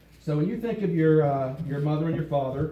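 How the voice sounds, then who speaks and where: With an American accent, a man talks as noticeable background noise carries on around him. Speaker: pastor. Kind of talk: live church sermon. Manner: conversational, teaching.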